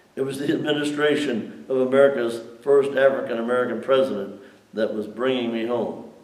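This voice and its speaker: Noticeable background noise and audible room echo surround the recording. A man speaks at medium pitch and a moderate pace. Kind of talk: reading aloud.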